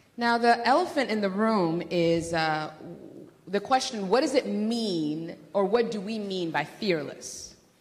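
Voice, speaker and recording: In a room with audible echo, a woman talks at a fairly slow pace with lively intonation. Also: medium pitch for a woman. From Democratic Republic of Congo. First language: not English (English is her fourth language). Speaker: doctoral student and workshop presenter. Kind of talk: lecture.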